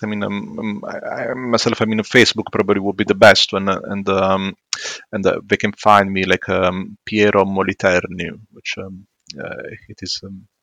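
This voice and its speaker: Using a bright, sharp tone and an Italian accent, a man speaks at a moderate pace in a fairly low pitch, with a dry, close sound and no echo. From southern Italy, Matera. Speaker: psychologist. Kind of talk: casual interview. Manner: halting, many fillers.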